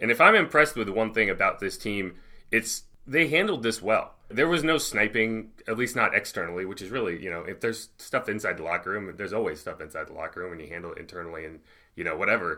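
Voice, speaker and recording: At a very fast pace, a man with a bright, sharp tone and medium pitch speaks with lively intonation and big swings in loudness, in a very clean recording with a silent background. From New England. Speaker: sports producer, podcast co-host. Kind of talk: casual chat.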